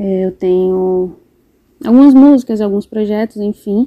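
The sound of this woman's dark, mellow voice is dry and close, with no echo. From Brazil, interior of Rio Grande do Norte. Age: 20s. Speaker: fashion designer and journalism student. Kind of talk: interview.

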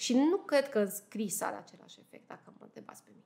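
A woman's fairly high-pitched voice. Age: 30s. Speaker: judge. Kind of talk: interview.

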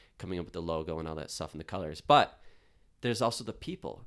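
A man with a Western New York accent and lively intonation, on a very clean recording with a silent background. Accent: Western New York (Inland North) American. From Buffalo, New York. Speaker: graphic designer and business owner. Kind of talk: interview.

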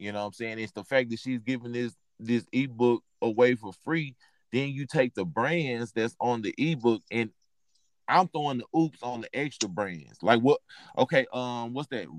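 In an American accent, a man with an ordinary speaking voice talks at a moderate pace and medium pitch, with ordinary pitch variation and a dry, close sound with no echo. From Texas. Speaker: podcast host, clothing reseller. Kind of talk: casual chat.

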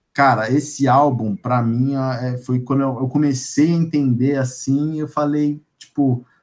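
Speaking in a São Paulo accent, a man has a fairly high pitch. His pace is fairly slow. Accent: Paulistano Brazilian Portuguese. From São Paulo, North Zone. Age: 20s. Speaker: podcast guest, music fan. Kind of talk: casual interview.

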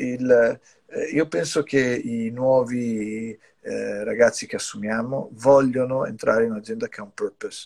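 A man talks in an English accent. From US, New York. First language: English (speaking Italian). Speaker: company executive. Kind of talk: casual interview. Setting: video call from brother's home music studio. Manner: halting, many repetitions.

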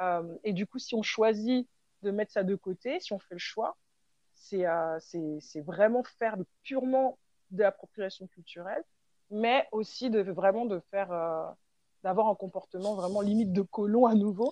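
In a dry, close sound with no echo, a woman with a medium pitch, ordinary pitch variation and a dark, mellow tone speaks at a fairly slow pace with long, frequent pauses. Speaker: hip-hop dancer and choreographer. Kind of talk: interview. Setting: remote call. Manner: hesitant, many fillers.

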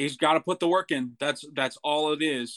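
This man has a fairly high pitch and fairly even intonation. The sound is dry and close, with no echo. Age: 20s. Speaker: podcast co-host. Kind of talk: casual chat.

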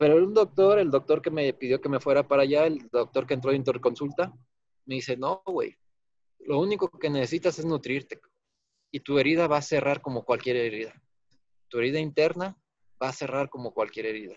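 Long, frequent pauses break up a man's fairly quick speech, his pitch fairly high with ordinary variation and the sound dry and close with no echo. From Guanajuato, Mexico. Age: 30s. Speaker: architect and accident survivor. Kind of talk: personal testimony.

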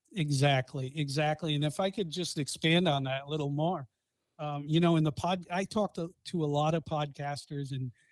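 In a Boston accent, someone talks at a fairly quick pace in a very clean, dry, close recording with a silent background and no echo. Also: man. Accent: Boston accent, noticeable, drops R's. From Boston, Massachusetts. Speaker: podcaster. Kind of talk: casual chat.

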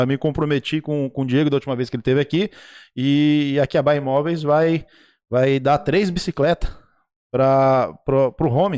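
Fairly quick speech in a dry, close recording with no echo, very clean over a silent background. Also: man. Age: 40s. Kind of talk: casual livestream talk show. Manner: animated.

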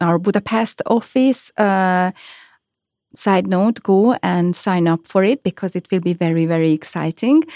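A woman with a Hungarian accent, medium pitch and a fairly slow pace. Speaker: head of human resources. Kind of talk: interview. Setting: studio. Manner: halting.

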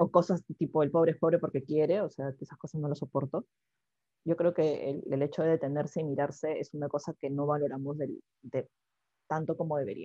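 Speaking at a fairly quick pace, a woman with a very deep, low voice keeps her intonation fairly even. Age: 30s. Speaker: podcast co-host, newspaper journalist. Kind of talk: casual chat.

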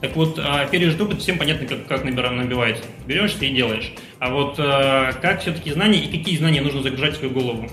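Very fast speech from a man with a fairly high pitch and ordinary pitch variation, in audible room echo with music in the background. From Russian Far East, Khabarovsk. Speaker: entrepreneur. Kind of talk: interview.

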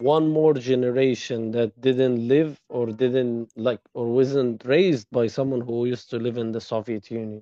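A man's medium-pitched voice with an Arabic accent, dark and mellow in tone, fairly slow and fairly even in intonation. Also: dry, close sound with no echo. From Egypt. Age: 20s. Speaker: former medical student. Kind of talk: interview.

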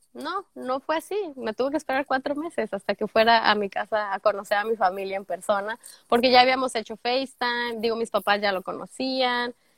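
A woman with an ordinary speaking voice talks with hardly any pauses at a fairly high pitch and ordinary pitch variation. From Mexico, Guadalajara (Jalisco). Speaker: au pair turned immigrant sharing her story. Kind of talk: casual interview chat.

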